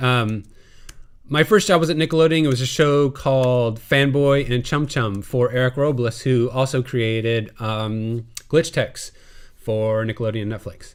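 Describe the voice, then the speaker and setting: With an American accent, a man speaks at a fairly slow pace in an ordinary speaking voice, medium in pitch with ordinary pitch variation. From US Midwest (Illinois, south of Chicago). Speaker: TV animation composer. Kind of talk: webinar Q&A talk. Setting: live online webinar. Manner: casual with many fillers.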